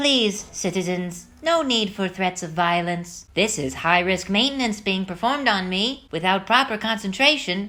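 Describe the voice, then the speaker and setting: A put-on character voice. It runs on with hardly any pauses. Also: female-sounding voice, medium pitch for a woman, moderate pace, very clean recording, silent background. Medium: audio drama. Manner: formal, polite.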